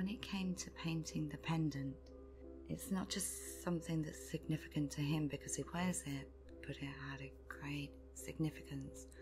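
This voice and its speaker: Over background music, a woman speaks in a calm tone at a moderate pace. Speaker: artist, ASMR creator. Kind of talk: ASMR storytelling, true spooky story told in a personal first-person style. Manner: soft, calm, intimate.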